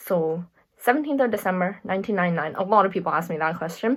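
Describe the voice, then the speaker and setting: Captured in a very clean recording with a silent background, a woman with an American accent talks at medium pitch with ordinary pitch variation. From USA and England. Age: 20s. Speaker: YouTuber. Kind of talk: casual Q&A monologue.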